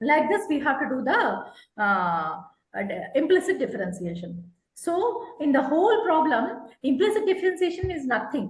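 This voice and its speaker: A woman speaks at a moderate pace with an extremely high pitch, and the room echo is audible. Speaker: math tutor. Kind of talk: online tutoring lesson.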